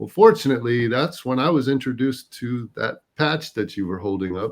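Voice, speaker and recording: With an American accent, a man talks at a fairly quick pace in an unremarkable speaking voice of medium pitch against a quiet background. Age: 50s. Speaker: retired air force veteran. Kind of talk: interview answer, health testimonial.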